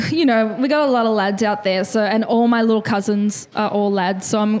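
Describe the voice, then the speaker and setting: A woman's fairly high-pitched voice with an Australian accent, ordinary pitch variation and a moderate pace. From Melbourne, Dandenong. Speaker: hip-hop panelist. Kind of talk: panel discussion. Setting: live panel in a lounge venue.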